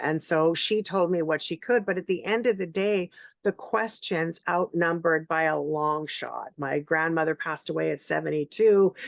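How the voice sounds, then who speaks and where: A woman with an unremarkable speaking voice talks at a moderate pace and fairly low pitch, with ordinary pitch variation. The sound is dry and close with no echo, over a quiet background. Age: 60s. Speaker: interview show host and producer. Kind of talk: interview. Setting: video call.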